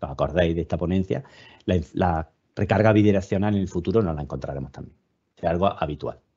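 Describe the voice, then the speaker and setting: A man with a southern Spanish accent, very deep and low in pitch, dark and mellow in tone, talking very fast against a quiet background. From southern Spain. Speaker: webinar speaker, EV charging and self-consumption expert. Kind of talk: webinar presentation. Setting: online webinar.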